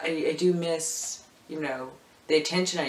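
There is audible room echo as a man speaks. His pace is fairly slow and his intonation fairly even. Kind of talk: casual talk to camera. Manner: hesitant, casual. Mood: reflective, lightly joking. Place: home room. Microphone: camera far.

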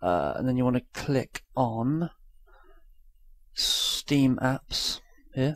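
A man speaks quietly at a very slow pace. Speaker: YouTuber. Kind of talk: tutorial. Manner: casual.

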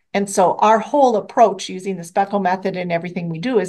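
Against a quiet background, an ordinary speaking voice talks at a moderate pace. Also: woman. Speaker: nonprofit executive director. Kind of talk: panel discussion.

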